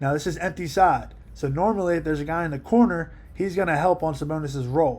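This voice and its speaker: A man talks at a fairly quick pace. His pitch is fairly high. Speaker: basketball coach. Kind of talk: film breakdown commentary. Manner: fast; animated.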